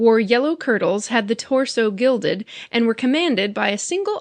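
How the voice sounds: Lively intonation in a natural reading voice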